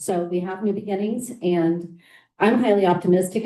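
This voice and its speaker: Shaky, nervous woman's voice, fairly low-pitched, with a dark, mellow tone and monotone, flat intonation. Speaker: school board trustee. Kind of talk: board meeting remarks. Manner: nervous, shaky voice.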